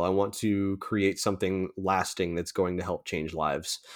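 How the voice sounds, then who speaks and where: A man with an American accent talks at a moderate pace in a fairly low pitch. The recording is very clean, with a silent background. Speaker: nonprofit founder for men's mental health. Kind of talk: casual interview podcast. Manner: halting.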